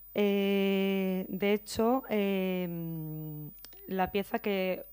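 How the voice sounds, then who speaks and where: Against a quiet background, a woman speaks with a medium pitch and ordinary pitch variation. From Spain, Valencia. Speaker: visual artist. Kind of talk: conference talk. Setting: conference room with audience. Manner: halting, many fillers and repetitions. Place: hall.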